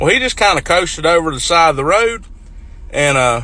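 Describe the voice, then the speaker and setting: Speaking with a rural North Carolina accent, a man talks at a very fast pace. His voice is raised and projected, with lively intonation. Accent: Southern US, North Carolina rural. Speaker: farmer. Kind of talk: casual storytelling to camera.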